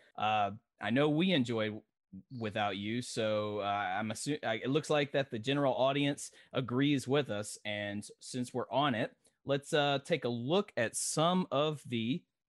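A man talks at a fairly slow pace. His medium-pitched voice shows ordinary pitch variation. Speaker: podcast co-host. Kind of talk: casual podcast chat about music. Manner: animated.

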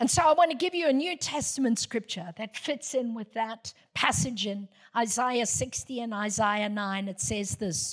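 A woman speaks with hardly any pauses, her voice somewhat breathy. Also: fairly high pitch for a woman, lively intonation, moderate pace. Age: 60s. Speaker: guest preacher. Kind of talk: sermon. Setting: church.

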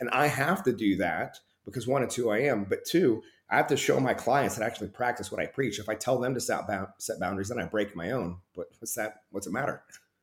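A somewhat breathy man with an American accent at a medium pitch and a very fast pace. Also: ordinary pitch variation. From Oklahoma. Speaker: performance coach and ministry background. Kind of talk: casual interview chat.

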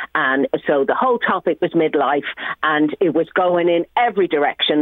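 A woman speaks in a Dublin accent. Her intonation is lively and her pace fairly quick. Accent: Irish (Dublin). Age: 50s. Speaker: comedian. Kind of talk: casual chat.

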